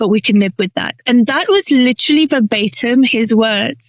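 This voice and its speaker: A woman with a fairly high voice and a British accent is heard in a dry, close sound with no echo. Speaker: inclusion strategist. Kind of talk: interview.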